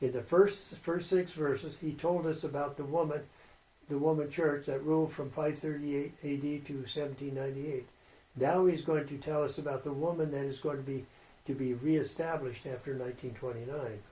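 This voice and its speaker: This man's fairly high, somewhat breathy voice has a dark, mellow tone, fairly even intonation and a fairly quick pace. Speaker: Bible prophecy teacher. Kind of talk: Bible study lecture.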